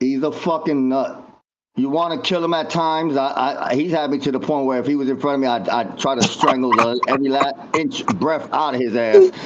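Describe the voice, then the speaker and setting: Speaking at a fairly quick pace with a normal speaking voice, a man with an American accent has a fairly high pitch and ordinary pitch variation. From Florida. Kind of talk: casual chat.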